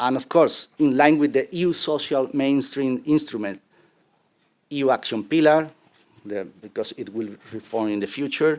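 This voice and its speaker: A man with a Spanish accent, fairly high in pitch, at a moderate pace with ordinary pitch variation and long, frequent pauses, on a very clean recording with a silent background. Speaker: conference panelist on Roma inclusion. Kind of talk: conference presentation with slides. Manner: halting.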